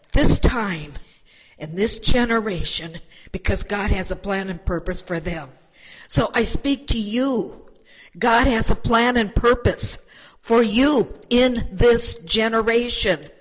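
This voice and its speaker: Noticeable background noise runs beneath very slow speech full of long, frequent pauses. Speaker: church elder. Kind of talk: exhortation.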